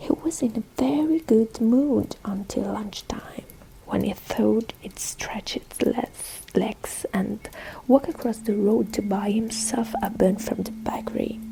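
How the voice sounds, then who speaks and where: A soft-spoken voice at a very slow pace over noticeable background noise. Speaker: ASMR artist. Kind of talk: read story.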